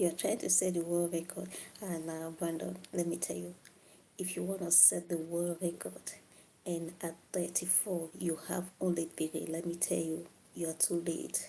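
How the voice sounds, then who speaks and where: A woman speaks quietly at a moderate pace, her pitch fairly low. Her tone is dark and mellow, and her intonation is monotone and flat. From Africa. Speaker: livestreamer. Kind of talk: live stream chat with viewers. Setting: late-night live stream. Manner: quiet, low volume.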